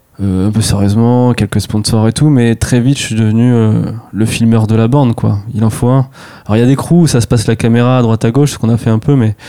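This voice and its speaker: Very fast delivery with fairly even intonation over noticeable background noise. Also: man. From France, Touraine (rural village near Tours). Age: 30s. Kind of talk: casual interview.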